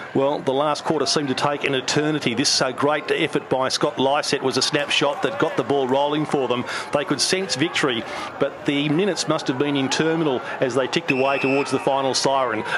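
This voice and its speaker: Over noticeable background noise, a man with an Australian accent talks at a fairly quick pace, his fairly high voice held at very even loudness. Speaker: sports commentator. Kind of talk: sports commentary, voiceover narration of match highlights. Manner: animated, fluent, emphatic with repeated 'very, very'.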